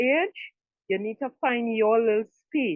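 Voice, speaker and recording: In a normal speaking voice, a woman talks at a fairly slow pace with ordinary pitch variation. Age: 60s. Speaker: audience member sharing advice. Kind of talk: casual testimony.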